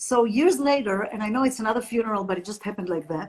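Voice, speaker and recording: A woman with an Israeli accent speaks at a very fast pace, her pitch fairly high. Her voice is somewhat breathy, with ordinary pitch variation. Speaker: happiness trainer and entrepreneur. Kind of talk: interview.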